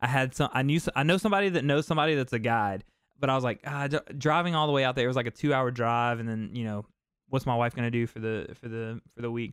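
Very fast speech with ordinary pitch variation. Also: man, medium pitch for a man. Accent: American. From US South. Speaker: fishing content creator and talk show host. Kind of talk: casual live-stream chat.

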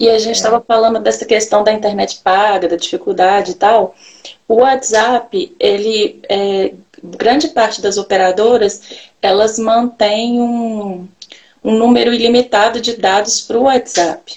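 A woman with a plain, everyday voice speaks at a fairly slow pace. Her pitch is fairly high and her intonation fairly even. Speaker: live-stream host. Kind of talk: online live interview. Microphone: echo on her audio.

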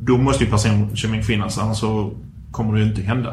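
Amid noticeable background noise and audible room echo, a man speaks with a fairly low pitch. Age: 40s. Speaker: podcast host. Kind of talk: casual chat.

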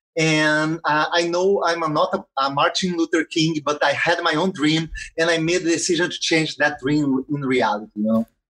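In a Portuguese accent, a man talks at a high pitch and a fairly slow pace. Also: very clean recording, silent background. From Brazil, Rio de Janeiro. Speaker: social entrepreneur. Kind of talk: interview. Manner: halting, many fillers.

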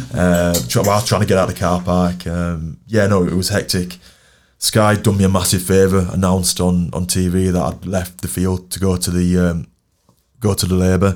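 With a Yorkshire accent and a very deep, low pitch, a man talks at a moderate pace with fairly even intonation on a very clean recording with a silent background. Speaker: professional rugby league player. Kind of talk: casual interview chat. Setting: studio.

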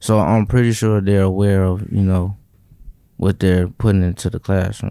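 Dark and mellow in tone, a man speaks at a moderate pace and fairly low pitch. His intonation is monotone and flat, on a very clean recording with a silent background. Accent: American. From South Side of Chicago. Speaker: young author in residence. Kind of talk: group discussion.

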